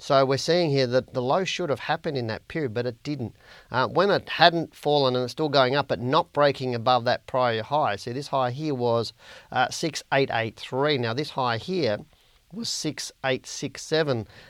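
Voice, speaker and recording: In an Australian accent, a man speaks at a moderate pace. His pitch is medium, with ordinary variation. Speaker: stock market analyst and educator. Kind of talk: market analysis video report. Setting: online video recording. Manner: informal, friendly.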